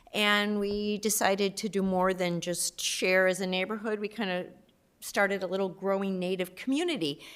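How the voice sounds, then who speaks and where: In a very clean recording with a silent background, a woman talks at a moderate pace with a medium pitch. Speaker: community volunteer, native gardening group. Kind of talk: public meeting presentation. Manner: loud.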